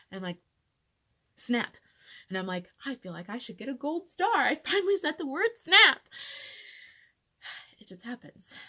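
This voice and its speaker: A woman's raised, projected voice at a high pitch, very wide pitch swings, moderate pace and long, frequent pauses. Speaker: patient sharing personal illness story. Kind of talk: personal testimony vlog. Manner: casual, filler-heavy.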